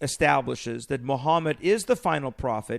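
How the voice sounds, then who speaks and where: Lively intonation marks this man's speech. He keeps to a moderate pace. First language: not English. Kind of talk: casual discussion.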